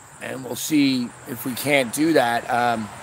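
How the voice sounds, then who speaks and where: A man speaks in a dry space with no echo. Background noise is noticeable. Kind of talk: casual vlog chat. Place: street. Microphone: phone near.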